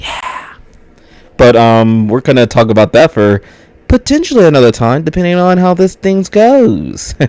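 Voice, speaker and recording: A man with an American accent and a fairly high pitch speaks at a moderate pace with very wide pitch swings, over noticeable background noise. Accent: American with slight Spanish. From United States. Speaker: vlogger. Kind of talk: casual monologue. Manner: casual, filler-heavy.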